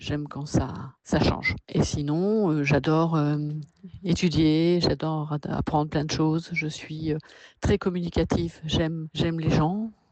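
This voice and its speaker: A woman's very deep, low voice, fairly slow, with fairly even intonation. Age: 60s. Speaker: artist and workshop leader. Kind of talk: personal interview. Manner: hesitant, many fillers.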